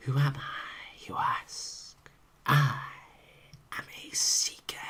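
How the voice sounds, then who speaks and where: Someone whispers in a put-on character voice. The pace is very slow. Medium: read story. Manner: slow, mysterious.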